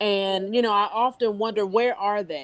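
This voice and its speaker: A normal speaking voice with ordinary pitch variation, at a moderate pace. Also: woman. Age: 50s. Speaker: panel guest. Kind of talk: casual chat.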